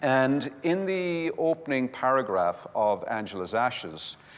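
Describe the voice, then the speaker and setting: In a Limerick accent, a man of medium pitch talks very slowly with very wide pitch swings. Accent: Irish, Limerick. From Ireland, Limerick. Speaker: community development speaker. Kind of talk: conference workshop talk. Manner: animated.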